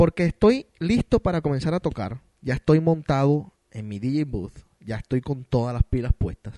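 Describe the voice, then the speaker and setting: Hardly pausing, a man talks at a fairly slow pace in a fairly high pitch. His tone is dark and mellow, and his intonation is lively. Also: big swings in loudness, dry, close sound with no echo. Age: 20s. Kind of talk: casual chat. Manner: animated.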